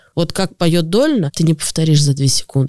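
A woman with a very deep, low pitch and a dark, mellow tone speaks at a moderate pace in a dry, close sound with no echo. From Moscow. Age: 30s. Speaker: tour guide and event host. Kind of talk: casual interview.

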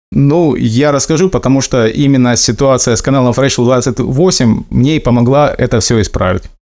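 A man with a plain, everyday voice talks at a moderate pace with hardly any pauses, using a medium pitch and ordinary pitch variation. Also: very even loudness. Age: 30s. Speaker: former merchant sailor, ship mechanic. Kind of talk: recorded personal testimony.

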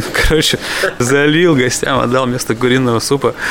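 A man's medium-pitched voice with fairly even intonation over noticeable background noise. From Yaroslavl region, Russia. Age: 30s. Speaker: chef. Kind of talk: casual chat. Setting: restaurant.

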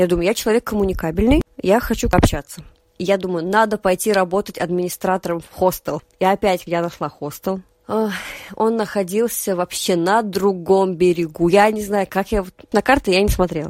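A normal speaking voice from a woman, medium in pitch, at a moderate pace with fairly even intonation and a dry, close sound with no echo. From Russia, Nizhny Novgorod region. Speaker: podcaster and theatre worker. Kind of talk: casual chat.

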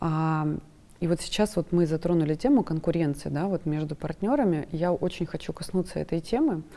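With a dark, mellow tone, a woman speaks at a moderate pace in a very deep, low pitch. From Krasnodar, southern Russia. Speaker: businesswoman, podcast guest. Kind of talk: talk-show discussion. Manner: talkative.

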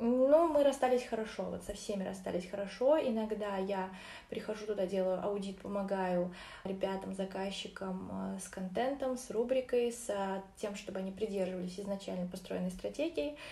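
A woman's moderately paced speech, with ordinary pitch variation, carries audible room echo. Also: medium pitch for a woman. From Orenburg, Russia. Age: 20s. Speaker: marketer and psychologist. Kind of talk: casual interview.

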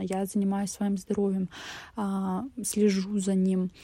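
On a very clean recording with a silent background, a woman speaks at a moderate pace in a monotone, flat way, with a dark, mellow, somewhat breathy tone at medium pitch. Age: 20s. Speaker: podcaster. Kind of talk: personal monologue podcast.

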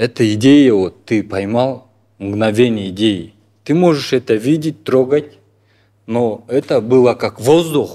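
Very slow in pace, a man speaks in a dark, mellow tone. His pitch is medium, with ordinary pitch variation. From Kyrgyzstan, Talas. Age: 30s. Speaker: artist. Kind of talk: interview.

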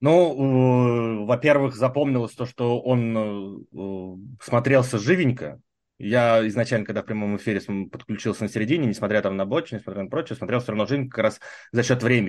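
With an unremarkable speaking voice, a man talks at a moderate pace and ordinary pitch variation. The background is quiet. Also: medium pitch for a man. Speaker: podcast panelist. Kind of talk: casual chat.

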